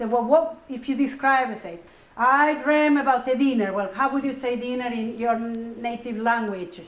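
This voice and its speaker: With a Spanish accent, a woman talks at a moderate pace in a high pitch, and audible room echo can be heard. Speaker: psychoanalyst and professor. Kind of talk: Q&A after a lecture.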